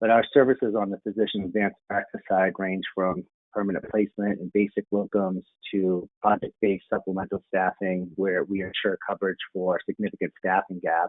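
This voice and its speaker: A man speaks at a fairly quick pace in a fairly low pitch, his intonation monotone and flat. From greater Boston area. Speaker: medical staffing executive. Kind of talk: panel discussion.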